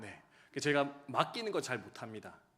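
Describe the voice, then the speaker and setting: A man with very wide pitch swings and vocal fry. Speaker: pastor. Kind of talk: sermon. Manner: fast.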